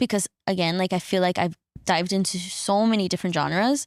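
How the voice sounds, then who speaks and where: A woman with a Spanish accent, recorded very cleanly against a silent background, the sound dry and close with no echo. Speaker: singer-songwriter. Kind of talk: podcast interview. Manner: casual, many fillers.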